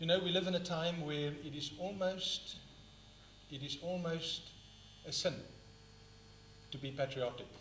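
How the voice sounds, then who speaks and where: A man speaks at a moderate pace in a high voice with fairly even intonation, leaving long, frequent pauses amid noticeable background noise and audible room echo. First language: not English (third language). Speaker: book reviewer, speaker. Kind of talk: public talk, book review. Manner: halting at times.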